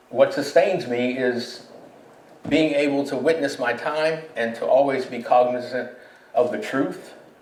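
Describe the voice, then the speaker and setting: Noticeable background noise and audible room echo surround a man with an American accent speaking in fairly even intonation. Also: fairly slow pace. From Pittsburgh, Pennsylvania. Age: 70s. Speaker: poet and war veteran. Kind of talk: panel discussion. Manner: reflective, with frequent fillers.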